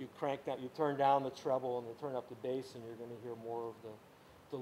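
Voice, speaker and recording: A man's dark, mellow voice at a medium pitch, flat and monotone in intonation, at a fairly quick pace. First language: Ukrainian. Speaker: music teacher. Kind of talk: lecture. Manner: halting.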